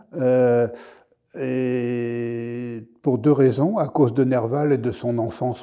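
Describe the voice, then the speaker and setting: The voice has a dark, mellow tone and fairly even intonation against a quiet background. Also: man. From Paris (Montmartre); Paris. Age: 70s. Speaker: historian. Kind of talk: interview. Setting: studio. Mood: calm, warm, amused. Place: studio.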